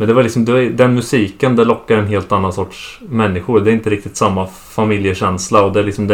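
This man speaks at a very fast pace, with hardly any pauses. His pitch is fairly low. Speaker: host's son, guest. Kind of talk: casual family conversation.

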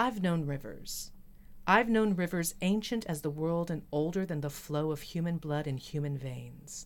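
In a normal speaking voice, a woman talks at a fairly low pitch and moderate pace with ordinary pitch variation. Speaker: podcast host. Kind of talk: poem performed: reading "Harlem" aloud in a measured, questioning cadence; casual co-host conversation.

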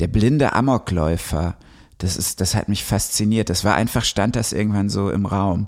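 A man with a normal speaking voice, fairly low in pitch with ordinary pitch variation, at a fairly slow pace, on a very clean recording with a silent background. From western Germany (Ruhr area, Recklinghausen). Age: 30s. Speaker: novelist and musician. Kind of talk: casual chat.

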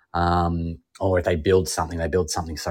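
Over a silent background on a very clean recording, a man with an Australian accent talks at a fairly quick pace, his pitch very deep and low and his intonation fairly even. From Melbourne, Australia. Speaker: TV and radio host, former comedian. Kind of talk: casual interview chat.

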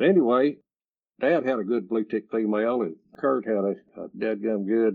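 A man with a medium-pitched voice and an East Texas accent, his pitch varying in an ordinary way. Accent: East Texas Southern drawl. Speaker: retired coon hunter and dog breeder. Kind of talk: interview storytelling. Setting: remote call.

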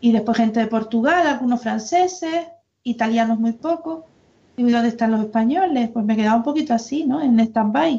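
In an unremarkable speaking voice, a woman talks at a moderate pace and fairly high pitch, with ordinary pitch variation and very even loudness. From Canary Islands, Las Palmas province. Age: 50s. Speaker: former church member. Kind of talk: casual chat.

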